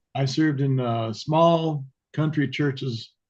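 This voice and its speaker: A man with an American accent talks at a fairly slow pace in an ordinary speaking voice, with medium pitch and ordinary pitch variation. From Bakersfield, California. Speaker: hospital chaplain. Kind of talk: self-introduction.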